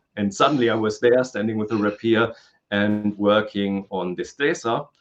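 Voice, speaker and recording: This man has a fairly low pitch and ordinary pitch variation. He speaks at a moderate pace. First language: German and Spanish. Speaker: historical fencing instructor. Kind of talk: interview. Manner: hesitant, many fillers.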